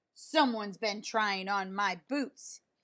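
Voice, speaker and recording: Bellowing in a gruff, put-on character voice at medium pitch, a woman speaks at a fairly slow pace on a very clean recording with a silent background. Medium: read story. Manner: roaring.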